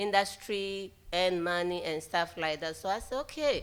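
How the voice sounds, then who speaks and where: In a very clean recording with a silent background, a woman with a non-native accent talks at a moderate pace with lively intonation. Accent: foreign. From outside the US. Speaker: math panelist, former student. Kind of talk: panel talk.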